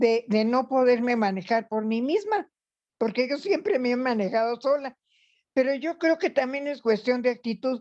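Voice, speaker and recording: A woman's high-pitched voice with lively intonation, at a moderate pace over a quiet background. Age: 80s+. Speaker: retiree, workshop participant. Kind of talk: group discussion.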